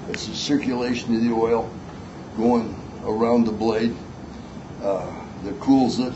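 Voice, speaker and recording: Over noticeable background noise and audible room echo, a man speaks at a fairly slow pace in a medium pitch. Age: 60s. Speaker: knifemaker giving a seminar. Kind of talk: seminar talk with audience questions. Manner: casual, folksy with fillers.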